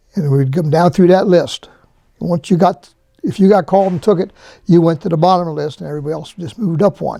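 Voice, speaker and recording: The speaker, with an American accent, talks at a very fast pace with ordinary pitch variation. The tone is dark and mellow. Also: man, high pitch for a man. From Harrisburg, Pennsylvania. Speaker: retired fire department administrative assistant. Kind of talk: interview answer.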